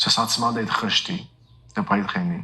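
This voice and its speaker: His tone is bright and sharp, his pitch medium. The man's intonation is lively. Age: 40s. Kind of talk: testimony. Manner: hesitant fillers.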